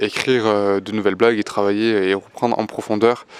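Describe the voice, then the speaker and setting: A man talks in a flat monotone at a moderate pace. His pitch is fairly low. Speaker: amateur stand-up comedian. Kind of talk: vlog. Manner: hesitant, many fillers; speaking softly.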